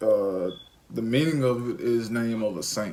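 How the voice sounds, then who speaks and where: At a very slow pace, a man speaks in a medium pitch with a bright, sharp tone. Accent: Alabama. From Alabama, US South. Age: 20s. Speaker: parenting vlogger. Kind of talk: casual chat.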